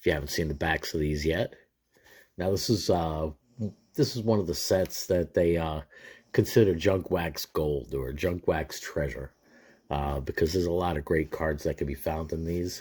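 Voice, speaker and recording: Recorded very cleanly with a silent background, a man speaks in a relaxed tone with a very deep, low, somewhat breathy voice. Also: ordinary pitch variation, moderate pace. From New York area. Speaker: sports card collector YouTuber. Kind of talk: casual pack-opening commentary. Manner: casual, relaxed.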